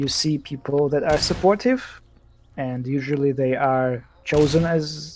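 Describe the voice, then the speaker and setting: Over noticeable background noise, the speaker talks with a non-native accent. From Eastern Europe. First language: not English. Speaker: game developer. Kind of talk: casual chat. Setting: live stream. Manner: halting.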